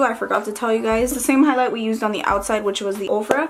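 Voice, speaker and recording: A woman's fairly high voice with ordinary pitch variation, set against noticeable background noise. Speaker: beauty youtuber. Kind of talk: makeup tutorial. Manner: casual, hesitant with fillers.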